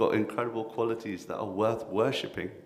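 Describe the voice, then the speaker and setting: Speaking in a London accent, a man moves at a fairly quick pace. Audible room echo and noticeable background noise fill the recording. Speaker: kirtan leader and spiritual speaker. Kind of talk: workshop talk. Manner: animated.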